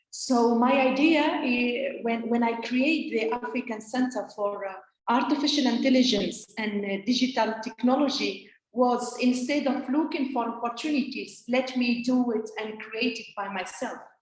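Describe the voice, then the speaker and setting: A woman with a high pitch speaks with fairly even intonation in a room with audible echo. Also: moderate pace. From Tunisia. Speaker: think tank founder and speaker. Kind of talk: conference talk. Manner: hesitant, many fillers.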